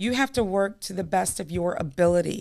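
Recorded very cleanly against a silent background, a woman with an American accent uses an ordinary speaking voice at a medium pitch with ordinary pitch variation. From New York. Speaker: timeshare sales rep. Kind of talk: casual interview chat.

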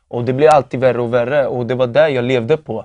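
A man's medium-pitched, dark, mellow voice in monotone, flat intonation, dry and close with no echo over a quiet background. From Norrköping, Sweden. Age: 20s. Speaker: testimony giver. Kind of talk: testimony.

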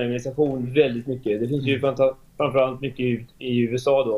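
A man speaks with a Swedish accent at a medium pitch. His pace is fairly quick. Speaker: architect. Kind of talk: interview.

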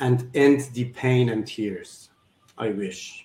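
Speaking very slowly in a Persian accent, a man uses a medium pitch and ordinary pitch variation, sounding somewhat breathy. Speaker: surgeon and philanthropist guest. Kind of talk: interview conversation. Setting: video call. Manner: halting, non-native English.

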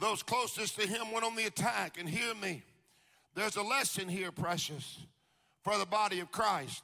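A man's high-pitched, raised and projected voice with a Southern US accent, bright and sharp in tone, animated, with ordinary pitch variation. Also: moderate pace. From US South, Jacksonville, Florida. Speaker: preacher. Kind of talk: sermon. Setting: stage with audience.

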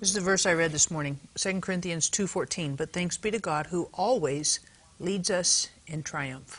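A woman at a fairly low pitch, with ordinary pitch variation and a fairly slow pace. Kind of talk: talk show interview and product appeal. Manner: enthusiastic.

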